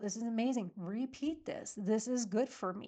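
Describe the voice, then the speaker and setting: A woman's fairly high voice moves at a moderate pace, with ordinary pitch variation. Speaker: therapist. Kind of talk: guided mindfulness exercise and casual talk. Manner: hesitant, with fillers and self-corrections.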